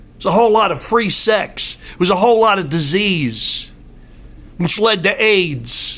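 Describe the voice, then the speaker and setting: Audible room echo surrounds a man speaking at a high pitch and moderate pace. His tone is animated, with ordinary pitch variation. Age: 60s. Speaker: political commentator. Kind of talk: opinion monologue.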